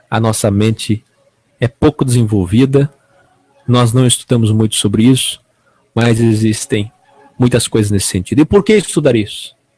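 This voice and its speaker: Long pauses come often as a man speaks at a moderate pace and medium pitch, with fairly even intonation, very even loudness and a dry, close sound with no echo. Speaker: online evangelical preacher and show host. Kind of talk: unscripted talk to camera.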